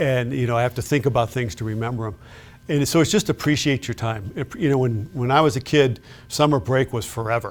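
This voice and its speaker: A man with an American accent speaks at a fairly quick pace in a medium pitch, with ordinary pitch variation and a plain, everyday voice. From Chicago south suburbs, Illinois. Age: 60s. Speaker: retired law enforcement official. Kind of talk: interview.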